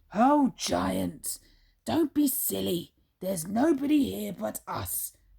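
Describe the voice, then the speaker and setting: A put-on character voice, female-sounding and raspy, at a fairly slow pace. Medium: read story.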